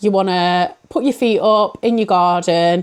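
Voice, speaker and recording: Fairly slow speech from a woman with a British accent. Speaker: book reviewer. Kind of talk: casual vlog-style book reviews. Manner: chatty, rambling.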